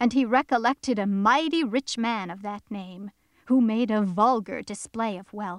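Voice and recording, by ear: This is reading aloud in a natural voice, with ordinary pitch variation.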